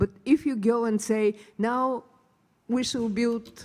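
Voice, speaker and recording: A woman speaks at a fairly slow pace in a Bulgarian accent. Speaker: hydrogen researcher, panelist. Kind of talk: panel discussion.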